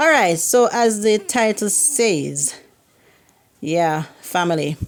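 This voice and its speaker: With a Jamaican accent, a woman speaks in an animated tone, her pitch swinging very widely. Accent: Jamaican, can't pronounce H and Y. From Jamaica, Kingston. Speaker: YouTuber. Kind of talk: casual vlog talk.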